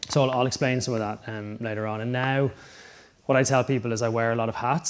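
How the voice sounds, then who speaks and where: A man speaks in an Irish accent at a medium pitch. His intonation is monotone and flat. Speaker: sports scientist. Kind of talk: conference talk. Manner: casual, many filler ums.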